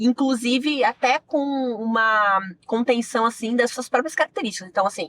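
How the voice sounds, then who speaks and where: A woman with a southern Brazilian accent speaks at a moderate pace in a high pitch with ordinary pitch variation. The sound is dry and close, with no echo. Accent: gaúcho Brazilian Portuguese, retained. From Rio Grande do Sul, Brazil (Giruá). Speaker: sports journalist. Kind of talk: interview conversation.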